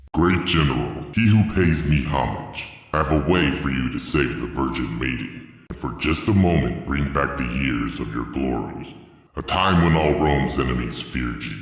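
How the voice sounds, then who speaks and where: A man puts on a character voice with a very deep, low pitch. He talks at a moderate pace, and the sound carries a strong echo. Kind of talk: solemn mythic drama. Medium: audio drama.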